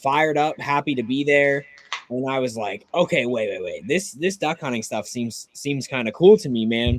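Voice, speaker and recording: A man's normal speaking voice, fairly high-pitched, with an American accent, ordinary pitch variation and a moderate pace. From Pittsburgh, western Pennsylvania. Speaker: duck hunter, social media creator. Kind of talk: casual chat.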